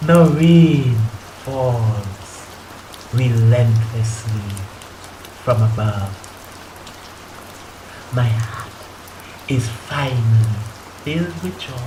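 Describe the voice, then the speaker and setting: Over noticeable background noise, a man speaks at a very slow pace with long, frequent pauses, a medium pitch, ordinary pitch variation and big swings in loudness. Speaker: spoken word poet. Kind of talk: spoken word poetry performance.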